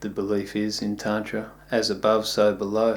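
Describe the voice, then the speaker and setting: Fairly low male pitch with an Australian accent. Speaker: yoga teacher. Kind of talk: video talk.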